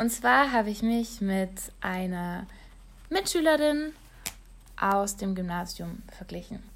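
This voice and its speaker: At a very slow pace, a woman speaks in a medium pitch with lively intonation and a somewhat breathy sound. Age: 20s. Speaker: online marketer and blogger. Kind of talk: solo podcast monologue.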